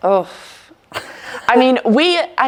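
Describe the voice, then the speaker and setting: A woman speaks with an Alabama accent. Her pitch swings very widely. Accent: Southern US (Alabama). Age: 20s. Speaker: college basketball player. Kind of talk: casual interview.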